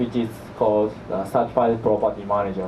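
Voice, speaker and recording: A man with a Japanese accent is heard with audible room echo and noticeable background noise. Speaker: property manager, company executive. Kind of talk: seminar presentation. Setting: seminar with audience. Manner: halting.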